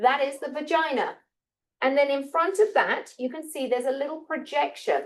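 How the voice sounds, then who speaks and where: Her voice sits high in pitch. The woman keeps a moderate pace. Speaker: biology teacher. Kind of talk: classroom lecture with dissection demo.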